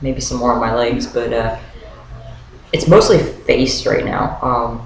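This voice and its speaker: Noticeable background noise and audible room echo fill the recording. A man speaks at a fairly slow pace. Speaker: vlogger documenting transition. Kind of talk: video diary update. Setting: webcam video at home. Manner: hesitant, many fillers.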